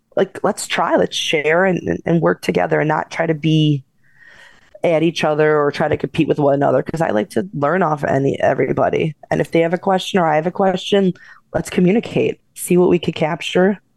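The sound is dry and close, with no echo, and the pace is fairly quick. It is a plain, everyday voice with ordinary pitch variation. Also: woman, very even loudness. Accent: American. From Chicago South Side. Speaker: paranormal investigator and author. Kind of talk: interview.

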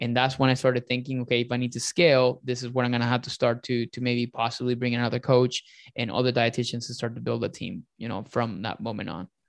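A man's medium-pitched voice at a very fast pace, with hardly any pauses and fairly even intonation. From Venezuela. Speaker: nutrition and business coach. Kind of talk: interview, casual.

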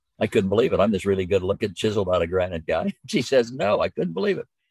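Recorded very cleanly against a silent background, a man talks at a very fast pace in a dry, close sound with no echo. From Southern California (early childhood in rural Minnesota). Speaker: business leader and leadership educator. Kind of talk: interview conversation.

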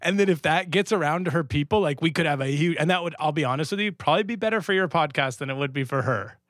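A man in a Canadian accent talks very fast at a fairly high pitch with lively intonation and hardly any pauses. The recording is very clean, the background silent. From Canada. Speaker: comedian. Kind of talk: casual chat.

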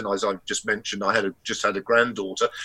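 A man speaks with an English accent. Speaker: historian and academic. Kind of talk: casual chat.

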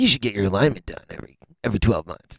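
A man puts on a character voice at a medium pitch, talking very fast in a dry, close sound with no echo. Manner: weird, exaggerated.

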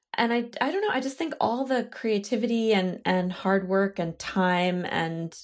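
Over a quiet background, a woman with a plain, everyday voice speaks at a moderate pace and medium pitch with lively intonation. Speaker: voice actor. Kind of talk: casual reunion chat.

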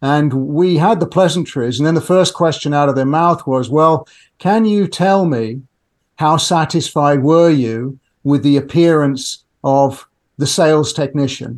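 With a British accent, a man speaks at a fairly slow pace and a fairly high pitch. His pitch varies in an ordinary way over a quiet background. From UK. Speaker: customer experience tech entrepreneur. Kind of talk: podcast interview.

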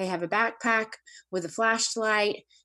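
At a fairly quick pace, a woman talks in an ordinary speaking voice with ordinary pitch variation, with a quiet background. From US South. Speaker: adoptive mother of four. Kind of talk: casual interview.

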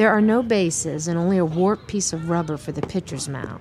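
Over music in the background, a woman with a fairly low pitch speaks at a moderate pace with ordinary pitch variation. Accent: American. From Washington DC. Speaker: podcast host and storyteller. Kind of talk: scripted narration.

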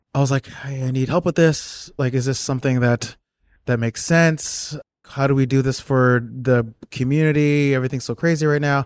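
A man with an American accent speaks in a normal speaking voice, medium in pitch, at a moderate pace with fairly even intonation. The recording is very clean, with a silent background. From US Northeast, South Orange, New Jersey. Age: 40s. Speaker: designer and artist. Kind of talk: casual interview.

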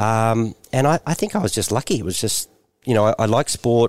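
Talking at a fairly quick pace, a man with an Australian accent and a medium pitch is heard in a very clean recording with a silent background and a dry, close sound with no echo. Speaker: former tennis player and TV presenter. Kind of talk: casual chat.

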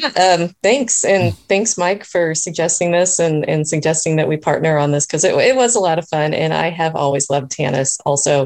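A woman's fairly low voice, an ordinary speaking voice, with very even loudness, ordinary pitch variation, a moderate pace and hardly any pauses. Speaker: writer. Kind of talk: casual chat. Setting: video call.

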